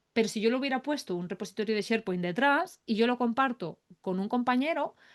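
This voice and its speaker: Her tone is animated, with lively intonation. The woman speaks at a fairly quick pace. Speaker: AI productivity expert. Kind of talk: webinar demo tutorial. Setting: online webinar. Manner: fast.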